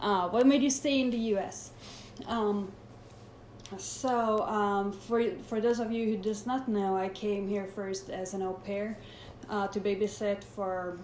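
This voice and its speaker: Fairly even intonation with audible room echo. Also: woman. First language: Swedish. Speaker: personal trainer. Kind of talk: live Q&A. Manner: halting.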